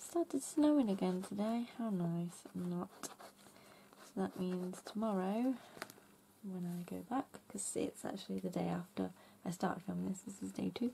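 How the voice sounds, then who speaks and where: A woman with an English accent speaks at a moderate pace. She leaves long, frequent pauses. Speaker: craft YouTuber. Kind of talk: casual craft tutorial. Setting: home craft room.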